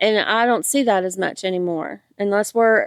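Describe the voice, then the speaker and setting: A woman's medium-pitched voice, a normal speaking voice, at a fairly quick pace with fairly even intonation and a dry, close sound with no echo. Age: 50s. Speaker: hiker. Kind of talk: casual interview. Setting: outdoors on a hiking trail.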